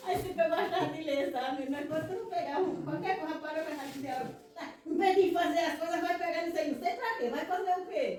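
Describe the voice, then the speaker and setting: A woman with an extremely high voice for a woman talks at a very fast pace with ordinary pitch variation, and room echo can be heard. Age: 60s. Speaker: church member, farm worker. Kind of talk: testimony.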